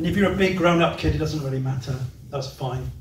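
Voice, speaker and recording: A man with ordinary pitch variation, audible room echo and light background noise. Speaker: preacher. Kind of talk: sermon. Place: hall.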